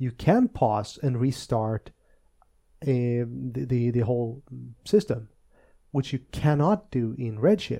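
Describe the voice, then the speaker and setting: Speaking at a very slow pace with long, frequent pauses, a man with a Swedish accent has a dark, mellow tone, a medium pitch and ordinary pitch variation. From Sweden, Östergötland. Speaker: tech podcast co-host, database specialist. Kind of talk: casual chat.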